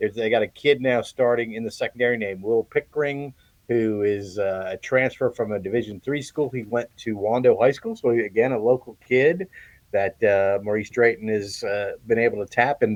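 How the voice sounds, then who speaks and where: Recorded dry and close with no echo against a quiet background, a man of medium pitch talks at a fairly quick pace with fairly even intonation. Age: 60s. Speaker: sports beat writer. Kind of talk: sports analysis chat. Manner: halting, many fillers and repeats.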